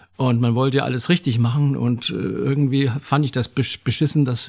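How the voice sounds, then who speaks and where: A man at medium pitch sounds somewhat breathy, recorded dry and close with no echo. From Saxony, near Zwickau. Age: 70s. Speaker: retired theatre extra. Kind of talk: casual interview.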